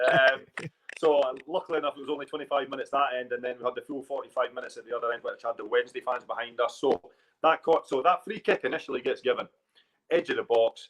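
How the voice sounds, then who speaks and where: The delivery comes at a very fast pace. The sound is dry and close, with no echo. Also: man. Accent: Scottish. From Edinburgh, Scotland. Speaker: football manager and former player. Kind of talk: podcast interview answer. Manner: casual, storytelling.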